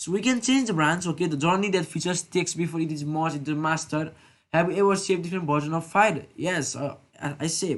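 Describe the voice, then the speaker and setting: The speaker moves at a fairly quick pace. The background is quiet. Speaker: programming tutor. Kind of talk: tutorial. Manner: fast; halting.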